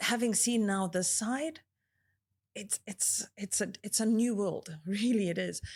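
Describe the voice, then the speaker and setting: A soft-spoken, somewhat breathy woman at a fairly slow pace, on a very clean recording with a silent background. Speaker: marina senior manager at a resort developer, interviewee. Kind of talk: interview answer. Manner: articulate, softly spoken.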